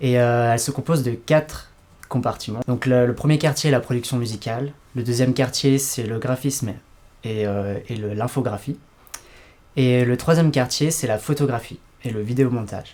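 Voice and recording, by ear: Slightly mellow in tone, a man speaks at a medium pitch with ordinary pitch variation. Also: moderate pace.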